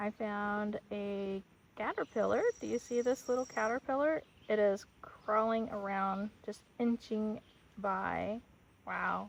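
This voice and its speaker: Fairly even intonation accompanies speech delivered at a very slow pace. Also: woman, fairly high pitch for a woman. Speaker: English teacher. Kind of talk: tutorial. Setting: outdoors.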